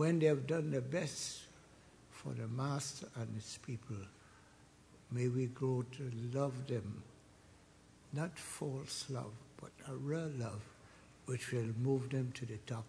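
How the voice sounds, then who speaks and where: A man's dark, mellow, somewhat breathy voice at a very slow pace, with fairly even intonation, long and frequent pauses, and light background noise. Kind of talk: prayer. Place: hall. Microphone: podium.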